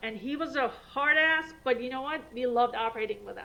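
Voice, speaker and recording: A raised, projected woman's voice, high-pitched, with a bright, sharp tone and audible room echo. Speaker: vascular surgeon. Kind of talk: lecture. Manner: fast; animated.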